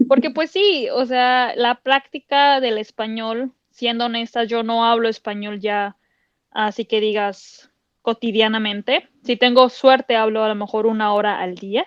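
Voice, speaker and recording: With a Mexican accent, a woman speaks at a fairly slow pace and a fairly high pitch, with ordinary pitch variation. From Mexico. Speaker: podcast co-host. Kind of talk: casual chat.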